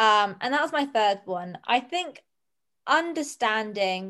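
A woman speaks with a British accent. The background is quiet. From Jersey, Channel Islands. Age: 20s. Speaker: entrepreneur. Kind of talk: casual chat.

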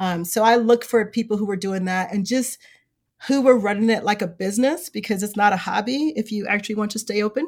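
Speaking with an American accent, a woman has a fairly high pitch and a somewhat breathy voice. She talks at a fairly quick pace with ordinary pitch variation. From Chicago South Side. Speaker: bookstore owner. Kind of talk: casual interview. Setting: virtual remote recording.

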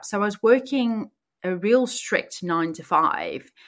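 In a very clean recording with a silent background, a woman with a medium pitch speaks in a bright, sharp tone with lively intonation. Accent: South African. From South Africa. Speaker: podcast host and life coach. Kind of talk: personal storytelling monologue.

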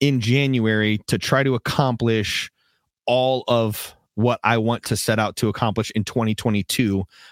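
In an ordinary speaking voice, a man talks at a medium pitch with fairly even intonation, the sound dry and close with no echo on a very clean recording with a silent background. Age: 30s. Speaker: podcast host and church minister. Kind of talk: solo livestream talk. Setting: livestream studio. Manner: casual with many fillers.

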